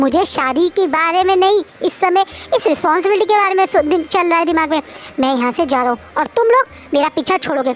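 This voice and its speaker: Over clear background noise, a woman uses a put-on character voice at an extremely high pitch, talking at a very fast pace with very even loudness. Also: lively intonation. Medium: read story. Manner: petulant, whiny.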